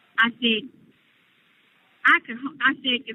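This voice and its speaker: A woman with fairly even intonation. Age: 60s. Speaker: relative of an inmate. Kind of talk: casual chat. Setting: phone call.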